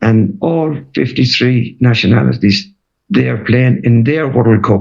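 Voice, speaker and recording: Speaking in a Waterford accent, a man uses lively intonation at a very slow pace and a medium pitch. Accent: Irish, Waterford. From Ireland, Waterford. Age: 80s+. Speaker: retired footballer and manager. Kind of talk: interview.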